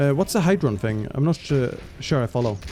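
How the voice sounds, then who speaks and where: Music plays in the background as a man speaks at a fairly quick pace. His medium pitch moves in very wide swings. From Sweden. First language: Swedish. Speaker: esports caster and streamer. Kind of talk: live commentary. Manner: hesitant, many fillers.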